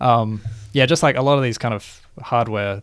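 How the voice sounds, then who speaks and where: In a very clean recording with a silent background, a man with an Australian accent talks at a fairly quick pace with ordinary pitch variation. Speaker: video game podcast co-host. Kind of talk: casual chat.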